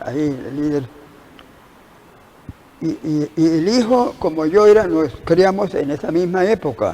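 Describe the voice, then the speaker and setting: A man's high-pitched voice at a fairly slow pace, broken by long, frequent pauses. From Colombia. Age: 80s+. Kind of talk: interview answer.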